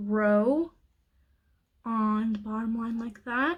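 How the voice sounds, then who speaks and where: Somewhat breathy and fairly high-pitched, a woman speaks at a very slow pace with fairly even intonation. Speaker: beauty youtuber. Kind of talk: makeup tutorial voiceover. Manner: frantic.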